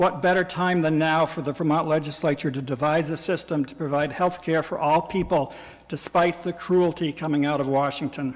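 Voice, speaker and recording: Monotone and flat, a man's fairly high voice moves at a moderate pace. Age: 60s. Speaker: citizen testifying at a legislative hearing. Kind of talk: public testimony. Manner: formal.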